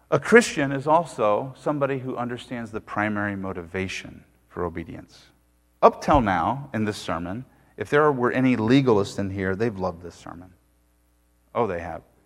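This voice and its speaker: In a very clean recording with a silent background, a man with a normal speaking voice and medium pitch talks at a moderate pace, with lively intonation and big swings in loudness. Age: 40s. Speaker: pastor. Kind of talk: sermon.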